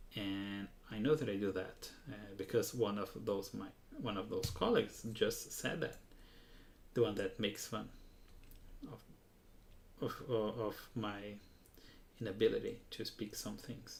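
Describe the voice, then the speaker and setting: A man with a non-native accent talks at a fairly slow pace with long, frequent pauses and big swings in loudness. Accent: non-native English accent, noticeable. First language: Portuguese. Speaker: hobbyist model builder, livestreamer. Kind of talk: live hands-on craft stream. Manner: halting, self-correcting.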